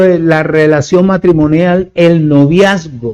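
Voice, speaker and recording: A man with a high pitch and a dark, mellow tone talks at a fairly slow pace. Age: 70s. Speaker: preacher. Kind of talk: sermon.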